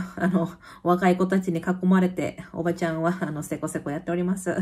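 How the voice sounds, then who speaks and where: A woman's somewhat breathy voice with a dark, mellow tone, set against a quiet background. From Kansai, Japan; Japan. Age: 30s. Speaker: YouTuber; vlogger living abroad. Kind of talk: casual chat. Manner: animated. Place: home room. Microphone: phone near.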